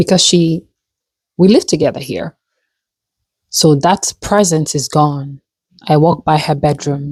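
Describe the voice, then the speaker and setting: Somewhat breathy and very deep and low in pitch, a woman speaks at a fairly slow pace with fairly even intonation in a dry, close sound with no echo. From Africa. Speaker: vlogger. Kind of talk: personal vlog. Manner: halting.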